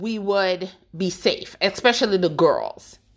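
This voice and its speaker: The tone is bright and sharp. The speaker has an American accent. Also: woman. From Jamaica, then the Bronx, New York. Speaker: podcast host. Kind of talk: personal monologue. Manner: emphatic.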